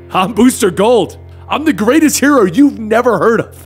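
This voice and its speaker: Over clear music in the background, a man does a put-on character voice with a high pitch, lively intonation and a moderate pace. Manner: heroic, boastful.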